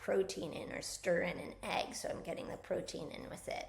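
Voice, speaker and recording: A woman at a moderate pace, with audible room echo. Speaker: physical therapist and wellness coach. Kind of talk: casual talk-to-camera health advice. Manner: casual, with fillers.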